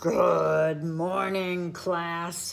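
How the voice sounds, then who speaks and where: A man bellows in a put-on character voice pitched high. His tone is cheerful. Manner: roaring, cheerful greeting.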